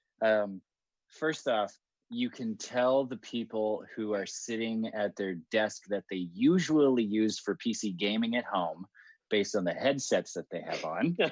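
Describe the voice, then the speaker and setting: Speaking at a fairly slow pace, a man with medium pitch and ordinary pitch variation comes through with a dry, close sound, no echo, and a quiet background. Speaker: meetup co-organizer. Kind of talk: casual chat. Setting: video call. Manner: loud.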